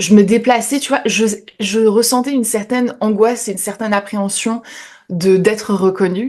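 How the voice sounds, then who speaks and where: A woman of medium pitch speaks at a moderate pace with ordinary pitch variation. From France, French Ardennes. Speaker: YouTuber. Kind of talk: interview. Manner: hesitant, many fillers.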